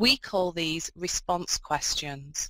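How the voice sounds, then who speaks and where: A woman with a northern English accent, fairly low in pitch with ordinary pitch variation, her tone bright and sharp, dry and close with no echo, very clean over a silent background. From northern England. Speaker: video conference facilitator. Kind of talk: instructions to students. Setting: video conference.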